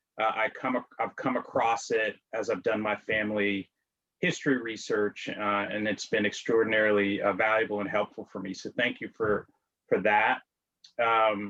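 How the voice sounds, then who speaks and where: With an American accent, a man speaks in a fairly low, monotone voice with flat intonation. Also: moderate pace. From Washington, D.C. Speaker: amateur genealogist, guest. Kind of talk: interview conversation. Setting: video call. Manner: hesitant with many fillers.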